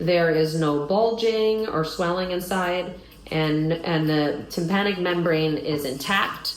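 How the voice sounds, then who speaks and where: A woman's fairly low voice at a very slow pace, with ordinary pitch variation and very even loudness, amid audible room echo and noticeable background noise. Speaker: clinician demonstrating a physical exam. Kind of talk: clinical exam demonstration. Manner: explanatory, step by step.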